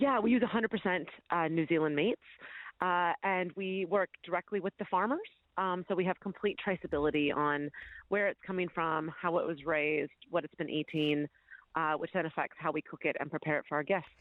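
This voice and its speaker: A woman with a normal speaking voice talks at a fairly quick pace in an American accent, her fairly low pitch showing ordinary variation. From United States. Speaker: butcher and chef. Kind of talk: radio interview. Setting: phone call.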